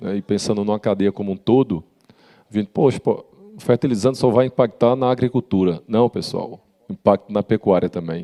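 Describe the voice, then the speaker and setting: In a northeastern Brazilian accent, a man with a fairly low pitch, ordinary pitch variation and a dark, mellow tone is heard with a dry, close sound and no echo. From Rio Grande do Norte, Brazil. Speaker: panel moderator. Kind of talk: panel moderation.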